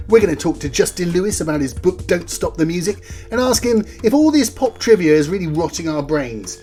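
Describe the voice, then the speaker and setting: Over music in the background, a man talks with hardly any pauses. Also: fairly quick pace. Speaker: podcast host. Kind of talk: podcast intro.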